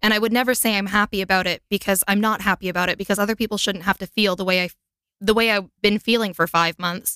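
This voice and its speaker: In a Canadian accent, a bright, sharp voice rattles off words at a very fast pace with monotone, flat intonation, the sound dry and close with no echo on a very clean recording with a silent background. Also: woman, medium pitch for a woman. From Canada. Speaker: singer-songwriter and voiceover artist. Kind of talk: interview.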